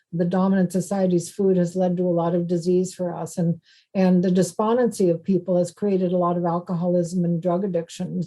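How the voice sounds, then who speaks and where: A woman's fairly low voice, dark and mellow in tone, with monotone, flat intonation. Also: hardly any pauses. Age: 70s. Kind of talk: podcast interview. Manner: conversational, with fillers and repetitions.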